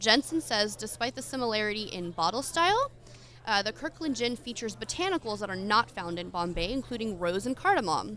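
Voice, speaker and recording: A woman's bright, sharp, fairly high voice with an American accent, at a moderate pace. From Philadelphia. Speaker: podcast co-host. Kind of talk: live podcast recording with audience, casual banter.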